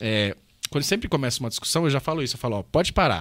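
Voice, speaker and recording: With lively intonation and a very fast pace, the voice comes through on a very clean recording with a silent background. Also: man. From Brazil. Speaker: economist, political candidate. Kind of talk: casual interview chat.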